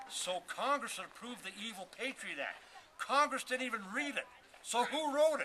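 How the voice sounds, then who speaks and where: A loud man with an extremely high pitch, a moderate pace and ordinary pitch variation. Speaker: castle builder. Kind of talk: rant. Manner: repetitive stammering.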